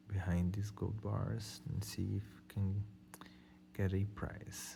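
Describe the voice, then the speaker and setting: With a Brazilian accent, a man speaks at a very slow pace in a fairly low pitch, somewhat breathy, with a dark, mellow tone and fairly even intonation. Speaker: scratch-off lottery video host. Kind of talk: casual talk to camera.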